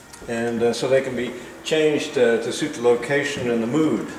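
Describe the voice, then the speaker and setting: Noticeable background noise and audible room echo surround a man's voice. He talks at a moderate pace with fairly even intonation. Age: 70s. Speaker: furniture maker and gallery owner. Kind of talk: casual video message showing work. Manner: halting, many fillers.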